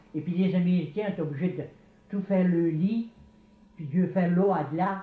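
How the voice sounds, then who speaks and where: At a moderate pace, a man speaks with fairly even intonation and a high pitch. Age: 70s. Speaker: retired hunting and fishing guide. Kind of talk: casual interview.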